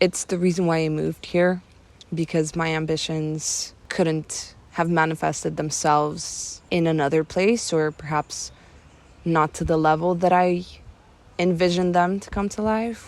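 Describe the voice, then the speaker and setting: A woman's quiet, fairly low voice at a fairly slow pace and fairly even intonation, in a very clean recording with a silent background. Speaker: vlogger. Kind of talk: casual vlog monologue. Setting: outdoors in a cemetery. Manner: quiet, low voice.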